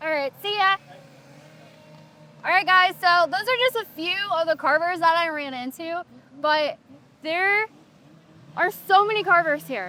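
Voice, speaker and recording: Over music in the background, a woman uses a raised, projected voice at an extremely high pitch, speaking at a fairly slow pace with ordinary pitch variation and long, frequent pauses. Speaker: chainsaw carver and vlogger. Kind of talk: casual vlog talk to camera. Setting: outdoors at carving event.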